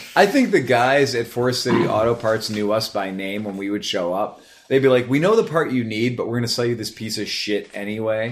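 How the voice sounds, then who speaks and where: Ordinary pitch variation marks this man's unremarkable speaking voice, which sits at a medium pitch. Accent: American. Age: 30s. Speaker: motorcycle podcast host. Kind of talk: casual chat. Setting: studio.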